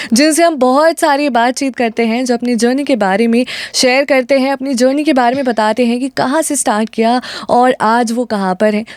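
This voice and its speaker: Recorded with a dry, close sound and no echo, a woman speaks in a high pitch with fairly even intonation. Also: moderate pace. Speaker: radio host. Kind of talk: radio talk show hosting.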